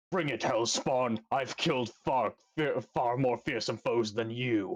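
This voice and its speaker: A man puts on a character voice, pitched medium and delivered at a fairly slow pace. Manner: bold, defiant.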